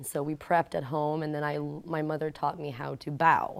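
A woman with an American accent speaks in a very deep, low voice with monotone, flat intonation. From New Jersey. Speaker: theater actor. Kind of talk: panel interview, casual.

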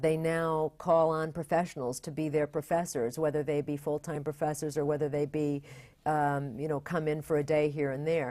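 Very deep and low, a woman's dark, mellow voice runs on with hardly any pauses over a very clean recording and a silent background. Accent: American. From upstate New York (Bath). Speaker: theater general manager. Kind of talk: interview.

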